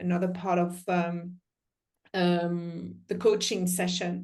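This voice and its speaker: The speech moves at a fairly slow pace. There is audible room echo. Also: woman. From France. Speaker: life coach. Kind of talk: panel discussion. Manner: hesitant, many fillers.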